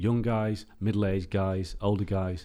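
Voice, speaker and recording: A man's dark, mellow tone comes through on a very clean recording with a silent background. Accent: English. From England. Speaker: football journalist. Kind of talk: casual interview.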